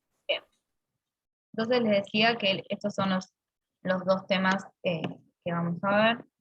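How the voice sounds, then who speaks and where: Speaking at a fairly slow pace, a woman with a medium pitch uses fairly even intonation and takes long, frequent pauses. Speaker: university lecturer. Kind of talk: lecture.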